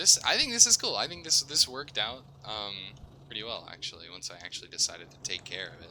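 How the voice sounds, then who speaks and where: Against noticeable background noise, a man speaks at a fairly quick pace with lively intonation. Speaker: gaming YouTuber. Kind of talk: let's play commentary. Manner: mumbling at times; casual, halting.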